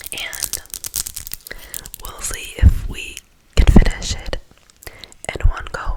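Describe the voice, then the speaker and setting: The speech is whispered, very slowly. Noticeable background noise is present as well. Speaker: ASMR creator. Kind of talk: casual talk to camera. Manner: soft-spoken, whispered.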